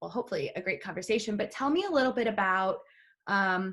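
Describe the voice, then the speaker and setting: A woman speaks with an American accent. Her voice is somewhat breathy, with lively intonation. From US Midwest. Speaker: travel advisor, podcast host. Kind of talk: casual interview.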